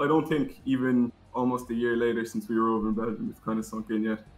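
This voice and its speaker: Speaking with a Cork accent, a man talks at a fairly quick pace with lively intonation over noticeable background noise. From Ireland, Cork. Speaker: amateur gamer and American football player. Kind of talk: interview. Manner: halting.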